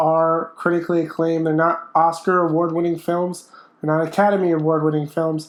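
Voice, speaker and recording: The speaker is a man with a high pitch. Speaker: movie reviewer. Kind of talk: vlog-style movie review. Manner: casual, hesitant with fillers.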